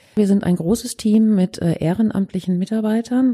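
A woman speaks at a moderate pace with an ordinary speaking voice and ordinary pitch variation. The sound is dry and close with no echo. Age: 50s. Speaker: crisis counselling centre head. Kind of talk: interview.

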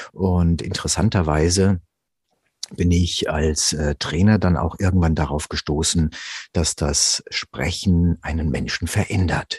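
The man's voice is very deep and low, somewhat breathy, with fairly even intonation at a fairly slow pace. The sound is dry and close, without echo. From South American parents, grew up in Germany. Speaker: voice actor and voice coach. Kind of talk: interview conversation about voice work. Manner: humorous, laughs often.

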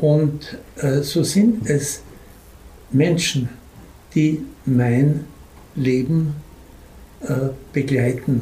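A man's fairly high-pitched, somewhat breathy voice with a dark, mellow tone, very slow pace, long, frequent pauses, very even loudness, ordinary pitch variation and audible room echo. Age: old. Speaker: publisher, retired school headmaster. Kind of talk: interview storytelling.

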